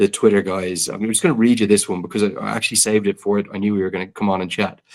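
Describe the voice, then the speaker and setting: Speaking at a very fast pace, a man with an Irish accent shows ordinary pitch variation. The recording is very clean, with a silent background. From Ireland. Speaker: cricket commentator. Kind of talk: casual chat.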